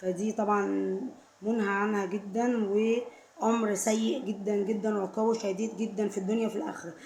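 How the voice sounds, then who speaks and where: In an Egyptian accent, a woman speaks at a fairly slow pace with monotone, flat intonation against noticeable background noise. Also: medium pitch for a woman. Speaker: vlogger. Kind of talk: casual talk to camera. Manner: repetitive, emphatic; suddenly louder at times.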